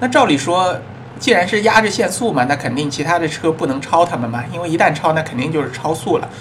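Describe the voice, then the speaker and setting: A man talks at a fairly quick pace with lively intonation and a fairly high pitch. Audible room echo and noticeable background noise surround his voice. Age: middle-aged. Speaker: podcast host and immigration consultant. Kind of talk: casual monologue.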